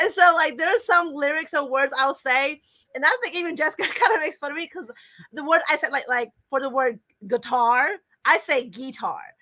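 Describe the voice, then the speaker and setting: Raised and projected, a woman's high voice has a bright, sharp tone and lively intonation at a fairly quick pace. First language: Hmong. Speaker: fan convention guest. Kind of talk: casual chat.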